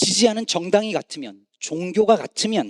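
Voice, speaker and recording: A man speaks at a moderate pace. The recording is very clean, with a silent background and a dry, close sound without echo. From Korea, Chungcheong province. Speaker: pastor. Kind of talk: sermon.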